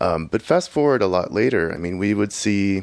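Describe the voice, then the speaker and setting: A man with a normal speaking voice and an American accent, fairly low in pitch, with ordinary pitch variation and a moderate pace. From Houston, Texas. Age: 40s. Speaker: electronic musician and software engineer. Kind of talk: casual interview. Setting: home studio.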